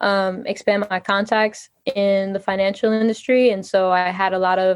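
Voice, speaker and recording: Against a quiet background, a woman with an unremarkable speaking voice talks at a moderate pace with fairly even intonation. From New York City, Queens. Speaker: entrepreneur, former model and TV presenter. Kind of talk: interview. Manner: frequent fillers (um, you know).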